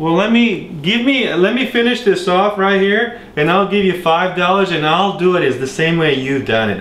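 In a room with audible echo, a man with a high pitch speaks in a playful tone with lively intonation, keeping a moderate pace, very even loudness and hardly any pauses. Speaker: cooking show host. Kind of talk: comedy cooking show. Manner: casual, playful. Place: kitchen.

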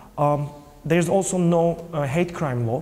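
Light background noise sits behind a man with a Turkish accent and a dark, mellow tone. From Turkey. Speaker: film producer and LGBT parents' activist. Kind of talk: interview. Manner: halting. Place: hall. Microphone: lapel.

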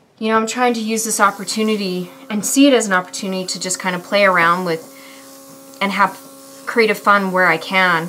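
A woman talks at a fairly quick pace with fairly even intonation over light background noise. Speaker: beauty vlogger. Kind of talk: tutorial. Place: home room.

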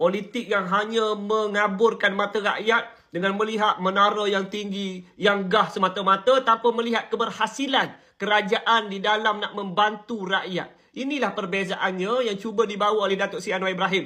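Raised and projected, a man's high-pitched voice comes across bright and sharp, flat and monotone, at a moderate pace with hardly any pauses. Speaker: political commentator. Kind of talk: political commentary monologue.

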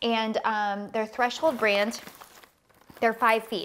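The woman's intonation stays fairly even, and her pace is fairly slow. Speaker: lifestyle vlogger. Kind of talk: casual haul vlog chat. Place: home room. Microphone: lapel.

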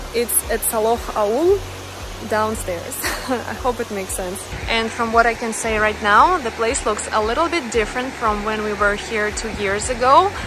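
A woman talks at a moderate pace, with clear music audible behind her. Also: ordinary pitch variation, dry sound with no echo. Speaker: travel vlogger. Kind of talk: casual vlog chat. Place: waterside. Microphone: phone near.

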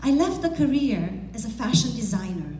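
Audible room echo surrounds a woman talking at a fairly slow pace. Light background noise is present. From Romania. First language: Romanian. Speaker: motivational speaker. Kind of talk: motivational speech. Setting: stage with audience. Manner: animated. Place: hall. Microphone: headset.

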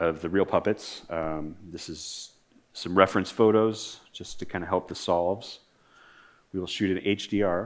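Against a quiet background, a man with a very deep, low pitch talks at a moderate pace with fairly even intonation. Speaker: conference presenter. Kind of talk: technical presentation. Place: stage. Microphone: podium.

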